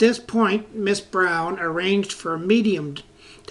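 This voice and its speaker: Pitch varies in an ordinary way. The pace is fairly slow. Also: man. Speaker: narrator. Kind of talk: ghost story narration.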